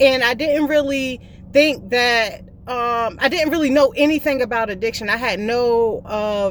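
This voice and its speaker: Speaking at a fairly slow pace with a Southern US accent, a woman uses a high voice with ordinary pitch variation. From US South, South Carolina (Columbia). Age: 30s. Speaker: vlogger in addiction recovery. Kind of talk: personal testimony.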